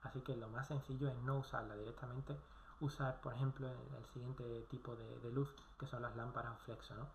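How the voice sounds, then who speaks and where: Speaking at a fairly quick pace, a man with a medium pitch uses fairly even intonation and some vocal fry. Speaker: video blogger. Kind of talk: casual talk to camera, course summary.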